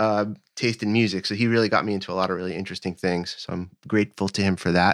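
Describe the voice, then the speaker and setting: The speech comes at a very fast pace with fairly even intonation, on a very clean recording with a silent background. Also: man. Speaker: bass player. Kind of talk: casual interview.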